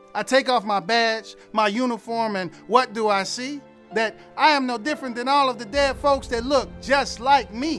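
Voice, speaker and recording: Over music in the background, a man with an extremely high pitch speaks at a moderate pace with ordinary pitch variation. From Detroit. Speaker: homicide detective and poet. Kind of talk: spoken word poetry performance.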